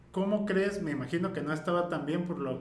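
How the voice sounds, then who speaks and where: Over noticeable background noise and audible room echo, a man talks at a very fast pace in a fairly high voice with fairly even intonation. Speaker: podcast host. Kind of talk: casual chat.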